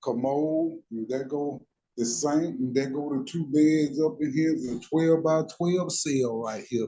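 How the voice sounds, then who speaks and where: This man has an American accent and a fairly high pitch. His tone is dark and mellow. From US South, Mississippi. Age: 60s. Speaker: prison inmate. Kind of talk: casual chat. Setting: prison cell.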